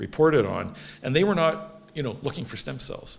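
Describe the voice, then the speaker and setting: A man speaks with vocal fry and very wide pitch swings. Room echo is audible. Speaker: stem cell researcher, award laureate. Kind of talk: lecture. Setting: stage with audience. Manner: fast.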